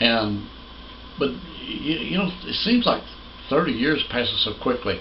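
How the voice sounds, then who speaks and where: A man speaks at a fairly slow pace with a fairly high pitch and very wide pitch swings. There is audible room echo and noticeable background noise. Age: 60s. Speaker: pastor. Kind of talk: sermon. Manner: halting.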